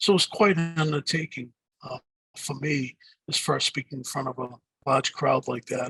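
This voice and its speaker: In a strong Boston accent, a man talks with a bright, sharp tone in a dry, close sound with no echo. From Boston area, US. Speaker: digital marketing speaker and author. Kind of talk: podcast interview. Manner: hesitant, many fillers and repeats.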